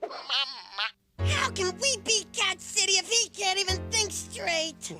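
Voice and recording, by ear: A cartoonish character voice at a fairly slow pace over loud music in the background.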